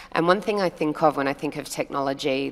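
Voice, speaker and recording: With music in the background, a woman in an Australian accent talks at a fairly quick pace. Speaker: hotel revenue management panelist. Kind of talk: panel discussion.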